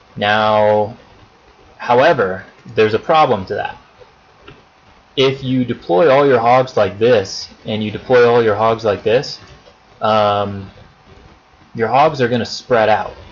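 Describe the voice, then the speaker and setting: Against noticeable background noise, a man of medium pitch speaks with long, frequent pauses. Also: fairly slow pace. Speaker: gaming strategy video maker. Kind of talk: tutorial. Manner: monotone; hesitant, many fillers.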